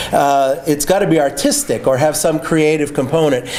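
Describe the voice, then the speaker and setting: Against noticeable background noise and audible room echo, a man talks at a fairly high pitch. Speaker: copyright lawyer and litigator. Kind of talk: lecture.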